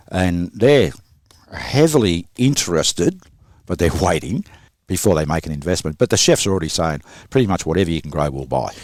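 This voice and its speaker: In a very clean recording with a silent background, a man with an Australian accent speaks fairly quickly at a very deep, low pitch, with lively intonation and vocal fry. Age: 60s. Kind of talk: podcast interview.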